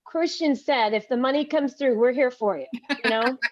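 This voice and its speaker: A woman's high voice with fairly even intonation. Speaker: podcast host. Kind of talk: casual chat.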